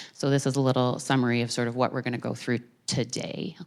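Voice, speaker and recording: A woman talks at a very fast pace in a very deep, low pitch, with vocal fry. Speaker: emergency physician. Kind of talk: public talk. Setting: stage with audience.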